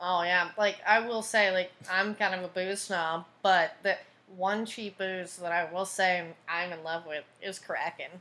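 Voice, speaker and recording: A woman with an American accent talks fairly slowly at a medium pitch, her bright, sharp tone carrying fairly even intonation. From Texas, Tyler. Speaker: podcast host and comedian. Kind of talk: casual chat.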